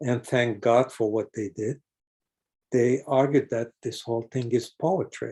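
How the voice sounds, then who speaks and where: Speaking at a fairly slow pace, a man with a medium pitch and a dark, mellow tone sounds somewhat breathy, his intonation fairly even. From Jerusalem. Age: 80s+. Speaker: professor and translator. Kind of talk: lecture. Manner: halting.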